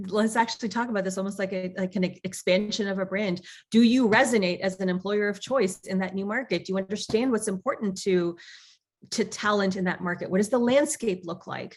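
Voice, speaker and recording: Speaking at a fairly quick pace with a Canadian accent, a woman uses a medium pitch and fairly even intonation. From Canada, Toronto. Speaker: tech executive. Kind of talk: interview. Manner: fast.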